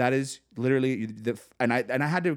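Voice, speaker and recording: Heard in a very clean recording with a silent background, an unremarkable speaking voice moves at a moderate pace with ordinary pitch variation. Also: man. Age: 40s. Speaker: podcast co-host. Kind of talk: casual chat. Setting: co-host's home.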